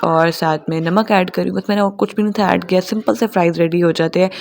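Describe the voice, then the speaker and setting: A woman's fairly level intonation is heard against noticeable background noise. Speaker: homemaker vlogger. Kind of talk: vlog voice-over narration. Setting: home, recording voice-over downstairs. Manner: casual, conversational.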